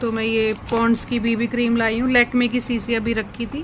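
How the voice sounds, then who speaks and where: Over noticeable background noise, a woman with a fairly high pitch speaks at a moderate pace in a monotone, flat intonation. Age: 50s. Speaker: cosmetics shop owner, vlogger. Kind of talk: product showcase vlog. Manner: casual, conversational.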